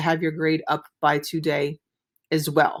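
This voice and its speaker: On a very clean recording against a silent background, a woman's voice comes through. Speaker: teacher. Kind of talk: recorded video lesson. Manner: fast; mumbling.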